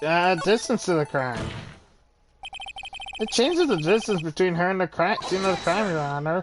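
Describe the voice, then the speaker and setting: Over music in the background, a put-on character voice at a middle pitch speaks with long, frequent pauses. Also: moderate pace. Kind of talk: courtroom speech. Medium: game stream. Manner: halting, earnest.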